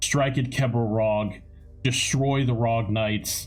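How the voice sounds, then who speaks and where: Clear music plays behind a man doing a put-on character voice at a medium pitch and a fairly slow pace. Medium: actual play. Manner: solemn, weighty oratory.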